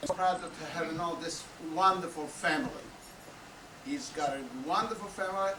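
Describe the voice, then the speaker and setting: A man with a non-native accent speaks at a moderate pace with ordinary pitch variation and long, frequent pauses. Room echo is audible, and background noise is noticeable. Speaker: anniversary party guest giving a toast. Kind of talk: speech at family celebration. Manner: halting.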